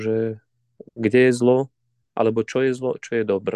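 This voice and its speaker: A man with a Ukrainian accent talks at a moderate pace and medium pitch in a dark, mellow tone. The sound is dry and close, with no echo. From Ukraine, Zakarpattia mountains. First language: Ukrainian (speaking Slovak). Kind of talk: interview. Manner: halting, repeats words.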